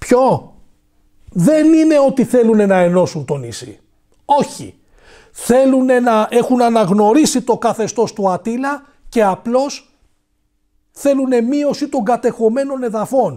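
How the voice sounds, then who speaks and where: The background stays quiet as a man talks very slowly. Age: 40s. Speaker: political commentator. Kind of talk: monologue commentary. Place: studio. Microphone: lapel.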